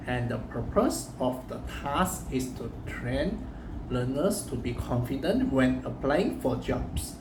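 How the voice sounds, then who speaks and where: Through audible room echo and noticeable background noise, a man speaks at a very slow pace. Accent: Chinese. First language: Chinese. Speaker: university student. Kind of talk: recorded assignment presentation. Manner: halting.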